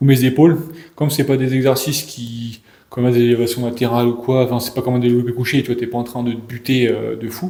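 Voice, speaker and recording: At a fairly quick pace, a man talks in a dark, mellow tone with fairly even intonation. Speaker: fitness coach. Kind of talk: casual chat. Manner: fast; halting. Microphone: echo in the room.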